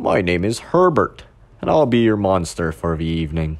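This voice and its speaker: Using a put-on character voice, a man speaks breathy and very deep at a moderate pace. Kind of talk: polite, formal greeting.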